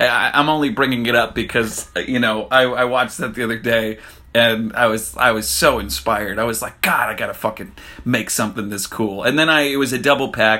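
Over music in the background, a man talks at a fairly quick pace with a medium pitch. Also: ordinary pitch variation. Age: 20s. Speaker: podcast host and actor. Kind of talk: casual monologue. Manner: halting, many fillers and repetitions.

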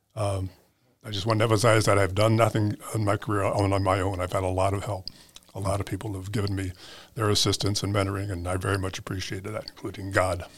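A man with an American accent talks at a very fast pace, somewhat breathy. His pitch is fairly low and his intonation monotone and flat. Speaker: school board president, retired educator. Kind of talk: interview, conversational.

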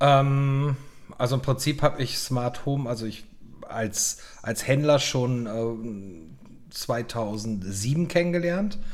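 A man with a medium pitch speaks at a very slow pace but with lively intonation. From western Germany, Lower Rhine. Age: 40s. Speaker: podcast co-host, IT security business owner. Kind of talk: casual chat.

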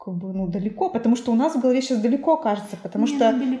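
Here is a woman with a fairly high pitch and lively intonation. It is a normal speaking voice. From Perm Krai, Russia (Suksun district). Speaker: museum director. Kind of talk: casual chat.

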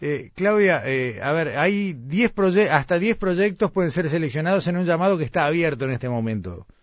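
He has an ordinary speaking voice. The man's intonation is lively and his pace moderate. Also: fairly high pitch for a man. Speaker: radio host. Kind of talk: radio interview. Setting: remote broadcast from Florida.

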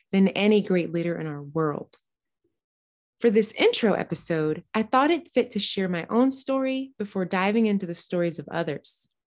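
Against a quiet background, a woman with an American accent speaks in a normal speaking voice at medium pitch, fairly quick and with lively intonation. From US East Coast and South (New Jersey, Georgia, North Carolina). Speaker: podcast host. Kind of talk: scripted narration.

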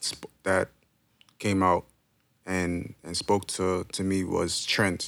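A man with a New York accent speaks at a very deep, low pitch and a very slow pace. His intonation is monotone and flat, with long, frequent pauses. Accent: New York City. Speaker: podcast host. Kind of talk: casual chat. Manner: halting, many fillers.

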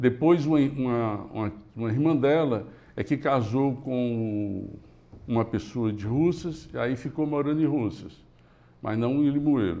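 There is a dark, mellow tone to this man's voice, which has ordinary pitch variation. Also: medium pitch for a man, fairly slow pace. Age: 60s. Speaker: engineering company founder. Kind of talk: interview.

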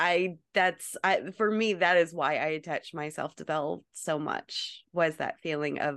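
Against a quiet background, a woman speaks with vocal fry at a very deep, low pitch. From North Carolina. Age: 30s. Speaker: actress and cosplayer. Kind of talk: casual chat.

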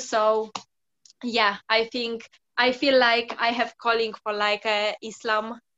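In a Polish accent, a woman speaks at a fairly slow pace. Her fairly high pitch stays in a monotone, flat intonation. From Poland. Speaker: football freestyler. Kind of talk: interview. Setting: radio studio.

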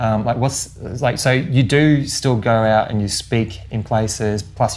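Speaking at a fairly slow pace with an Australian accent, a man sounds somewhat breathy and uses ordinary pitch variation. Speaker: podcast host. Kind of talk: interview.

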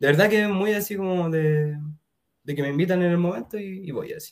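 A man with a Chilean accent speaks at a moderate pace. His voice is high and his intonation fairly even. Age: 20s. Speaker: musician. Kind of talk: casual chat.

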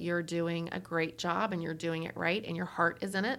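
A woman with a plain, everyday voice speaks in a fairly low pitch with fairly even intonation. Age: 40s. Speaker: roofing company vice president. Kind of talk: casual interview.

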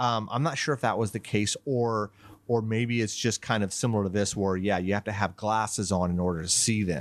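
In an ordinary speaking voice, a man talks at a fairly quick pace with fairly low pitch and very even loudness over a quiet background. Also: ordinary pitch variation. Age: 50s. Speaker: horror podcast host, guest. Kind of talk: casual chat.

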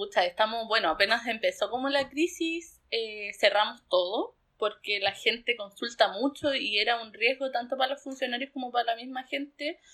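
A woman's high voice in a Chilean accent, at a moderate pace with ordinary pitch variation and hardly any pauses. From southern Chile, Pucón. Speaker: rural doctor. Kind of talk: interview.

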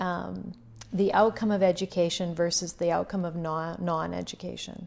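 At a moderate pace and medium pitch, a woman with a Canadian accent speaks in a plain, everyday voice. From Saskatchewan, Canada. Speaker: counselor. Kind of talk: casual interview.

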